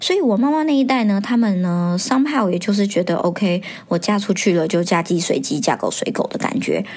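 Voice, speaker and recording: A woman's medium-pitched voice with lively intonation and very even loudness, at a fairly quick pace with hardly any pauses, over noticeable background noise. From Taiwan. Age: 30s. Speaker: podcast host. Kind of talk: casual monologue.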